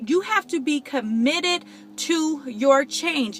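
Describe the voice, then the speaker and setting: A raised, projected voice with a bright, sharp tone and lively intonation, fairly slow in pace, in a dry, close sound with no echo. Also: woman. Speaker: motivational vlogger. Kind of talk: motivational talk. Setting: in a car. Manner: animated.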